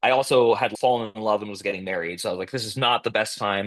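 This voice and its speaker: This man has a medium pitch and ordinary pitch variation, and he speaks at a very fast pace. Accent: American. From US West Coast, Berkeley/Oakland, California. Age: 40s. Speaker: podcast host and novelist. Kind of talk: podcast interview. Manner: casual, filler-heavy speech.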